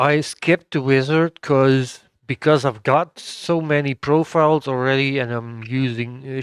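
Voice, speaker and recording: A man with a Dutch accent speaks very slowly at a fairly high pitch with fairly even intonation. The sound is dry and close with no echo, and the background is quiet. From Netherlands. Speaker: gaming YouTuber. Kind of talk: gameplay tutorial. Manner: hesitant, many fillers.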